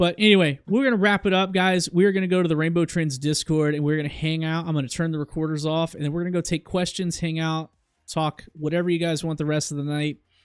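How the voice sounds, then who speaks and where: In a very clean recording over a silent background, a man with a fairly high pitch speaks in an animated tone. His pace is very fast, with hardly any pauses. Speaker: crypto market analyst streamer. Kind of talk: live stream market commentary.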